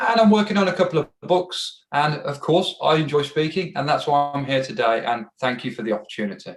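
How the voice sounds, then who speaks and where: With an English accent, a man speaks quickly and fairly high, with lively intonation and hardly any pauses. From England. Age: 30s. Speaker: entrepreneur and podcast host. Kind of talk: self-introduction.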